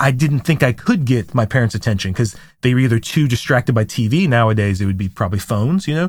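Over a silent background in a very clean recording, a man speaks very fast with lively intonation and a somewhat breathy voice. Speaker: parenting podcast host and counselor. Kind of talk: casual educational chat. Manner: fast talker.

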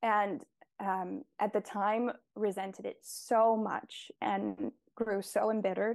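A woman speaks in an unremarkable speaking voice at a medium pitch with ordinary pitch variation. The background is quiet. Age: 20s. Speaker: nature poet and painter. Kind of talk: interview conversation with poetry readings.

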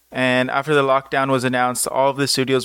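A man's medium-pitched voice with an American accent, bright and sharp in tone, in a dry, close sound with no echo. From Southern California, Los Angeles. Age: 20s. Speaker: podcast host, dancer and dance teacher. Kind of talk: solo podcast monologue.

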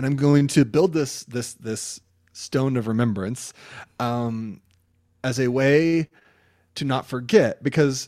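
This is an unremarkable speaking voice, with ordinary pitch variation. The recording is very clean and the background silent. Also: man. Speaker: pastor. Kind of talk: casual chat. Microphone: sounds good.

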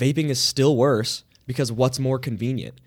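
A man with a normal speaking voice talks at a fairly quick pace and medium pitch in a very clean recording with a silent background. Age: 20s. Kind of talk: casual chat. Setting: studio.

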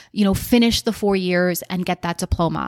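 A woman with an American accent talks at a fairly quick pace and a medium pitch, in an ordinary speaking voice. The recording is very clean with a silent background and a dry, close sound with no echo. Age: 40s. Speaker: business coach and podcast host. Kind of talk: solo podcast monologue.

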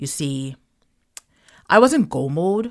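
In an animated tone, a woman talks over a silent background on a very clean recording. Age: 40s. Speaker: podcast host and side hustle coach. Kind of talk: personal monologue.

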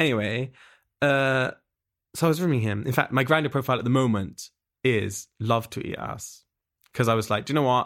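Pausing long and often despite a fairly quick pace, a man with an English accent speaks at medium pitch with ordinary pitch variation in a very clean recording with a silent background. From England. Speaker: musician. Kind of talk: casual chat.

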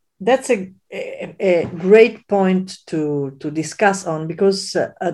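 A woman speaks very slowly in an Italian accent, her medium-pitched voice dark and mellow with ordinary pitch variation. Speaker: physician and podcast host. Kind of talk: interview conversation. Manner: halting with many fillers.

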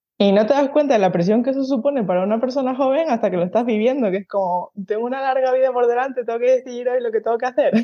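At a very fast pace, a woman with a high pitch speaks with hardly any pauses. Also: ordinary pitch variation. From Spain, Canary Islands (Tenerife). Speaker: horse groom and stable manager. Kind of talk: interview conversation.

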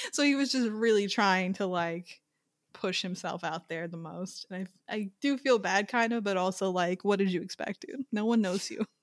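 A woman's plain, everyday voice in an American accent, medium pitch, dry and close with no echo, on a very clean recording with a silent background. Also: ordinary pitch variation, moderate pace. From Long Island, New York. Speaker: film podcast co-host. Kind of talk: casual chat.

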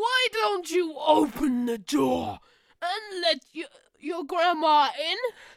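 Slowish in pace, this female-sounding put-on character voice sits at an extremely high pitch. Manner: sweet, coaxing, deceptive.

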